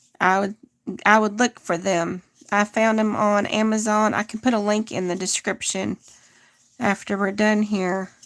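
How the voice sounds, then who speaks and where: Monotone, flat delivery at a moderate pace, dry and close with no echo. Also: woman, medium pitch for a woman. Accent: American. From US South, northeast Texas. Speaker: crochet content creator. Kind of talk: live crochet tutorial. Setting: livestream. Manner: casual, chatty.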